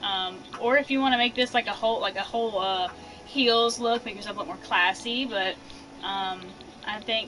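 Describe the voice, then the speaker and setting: Noticeable background noise can be heard. Over it, a woman's pitch shifts in an ordinary way. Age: 20s. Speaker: gaming streamer. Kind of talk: casual live stream tutorial. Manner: casual, chatty with fillers.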